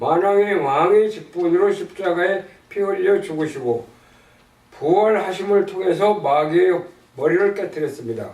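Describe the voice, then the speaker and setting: Speaking at a fairly slow pace with long, frequent pauses, a man uses a high pitch with ordinary pitch variation. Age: 80s+. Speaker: church member reading gospel tract. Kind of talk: religious text reading with prayer. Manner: slow, careful reading.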